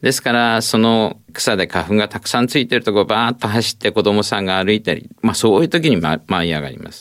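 A man with a normal speaking voice talks at a fairly quick pace with hardly any pauses, using a fairly low pitch, ordinary pitch variation and big swings in loudness. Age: 60s. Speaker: ENT professor and allergy specialist. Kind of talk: expert interview. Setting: studio.

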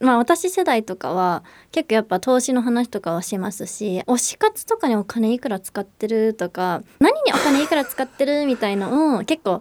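A woman's fairly high voice with lively intonation at a moderate pace, an ordinary speaking voice, dry and close with no echo. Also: hardly any pauses. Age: 30s. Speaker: financial planner and financial educator. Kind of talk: casual educational chat.

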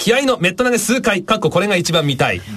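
The speaker is a man talking at a fairly quick pace. Noticeable background noise runs underneath. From Japan, Aomori. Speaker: radio host. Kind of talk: casual chat.

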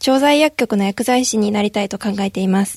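Lively intonation in a dry, close sound with no echo. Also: woman. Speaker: pharmacy student. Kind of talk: roundtable discussion. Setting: radio studio.

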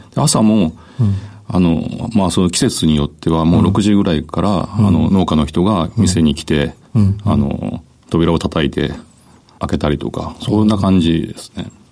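Very deep, low-pitched male voice at a fairly slow pace, with noticeable background noise. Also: ordinary pitch variation. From Japan, Kitakyushu (Fukuoka). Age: 50s. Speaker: company president. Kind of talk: radio interview. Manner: hesitant, many fillers.

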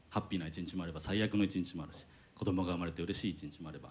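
A man with a very deep, low voice at a very fast pace. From Hiroshima, Japan. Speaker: company president and amateur band vocalist. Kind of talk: onstage talk at live show. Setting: stage with audience.

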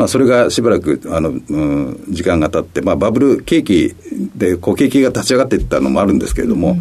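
A man with a fairly low pitch talks at a very fast pace, his pitch swinging very widely. Noticeable background noise sits behind him. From Kitakyushu, Fukuoka, Japan. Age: 60s. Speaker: company president. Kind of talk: radio interview. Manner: frequent fillers and hesitations.

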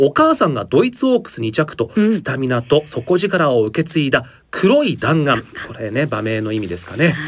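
Talking at a fairly quick pace, a man with a fairly high, somewhat breathy voice makes very wide pitch swings and big swings in loudness. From Japan, Aomori. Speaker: announcer. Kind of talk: news reading. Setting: studio.

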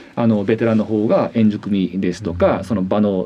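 A man talks at a moderate pace in a fairly low pitch. He has an ordinary speaking voice. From Japan, Hiroshima (Fukuyama). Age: 40s. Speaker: former international football referee. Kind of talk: radio interview.

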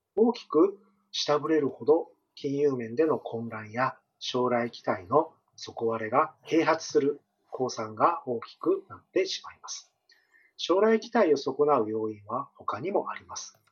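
Big swings in loudness and very wide pitch swings mark this man's fairly high-pitched voice. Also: fairly slow pace. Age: 40s. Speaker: economist. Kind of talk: interview. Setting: remote call. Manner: formal.

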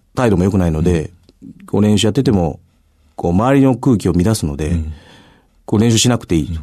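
Speaking very fast with long, frequent pauses, a man uses a very deep, low pitch, a dark, mellow tone, lively intonation and big swings in loudness. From Japan, Itami, Hyogo (Kansai). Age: 40s. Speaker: university rugby head coach. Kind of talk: radio interview.

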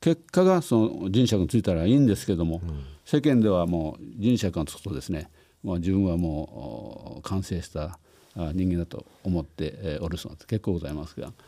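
A man's very deep, low voice with a dark, mellow tone and big swings in loudness. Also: lively intonation, moderate pace. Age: 70s. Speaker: company founder and president. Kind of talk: interview. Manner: formal.

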